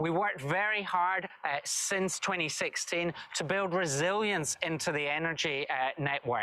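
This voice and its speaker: With a Scottish accent and a high pitch, a man speaks at a fairly slow pace with hardly any pauses, very even loudness and ordinary pitch variation, over noticeable background noise. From Scotland, Dumfries and Galloway. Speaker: government minister. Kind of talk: recorded video address.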